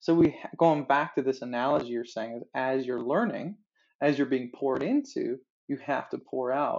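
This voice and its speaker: Here a man with a fairly high pitch and an ordinary speaking voice talks at a moderate pace with ordinary pitch variation. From Newfoundland, Canada. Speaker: worship pastor and vocal coach. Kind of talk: casual interview chat.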